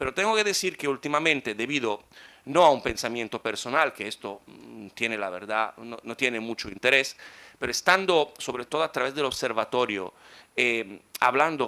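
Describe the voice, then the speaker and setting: A man's medium-pitched voice, bright and sharp in tone, with lively intonation at a moderate pace. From Italy. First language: Italian (speaking Spanish). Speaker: conference speaker. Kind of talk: conference talk.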